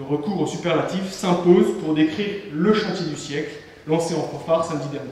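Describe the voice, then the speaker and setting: Amid noticeable background noise and audible room echo, a man with a high-pitched voice talks at a fairly quick pace with fairly even intonation. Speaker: student debate moderator. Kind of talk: scripted introduction of guests.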